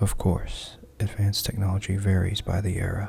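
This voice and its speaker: Soft-spoken and calm in tone, a man whispers over noticeable background noise. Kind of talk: book reading, ASMR. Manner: soft-spoken, whispered, calm.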